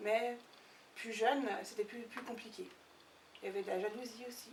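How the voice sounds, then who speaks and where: Amid noticeable background noise and audible room echo, a woman with a fairly high pitch talks at a moderate pace with fairly even intonation. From French side near Geneva. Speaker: interviewee, cross-border worker. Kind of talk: documentary interview. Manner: hesitant, many fillers.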